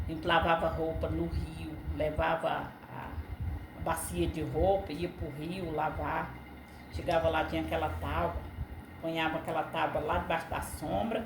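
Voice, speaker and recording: A woman speaks at a fairly slow pace. Noticeable background noise and audible room echo are present. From Brazil, Ceará (Northeast). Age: 60s. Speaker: interviewee sharing life memories. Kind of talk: casual interview chat.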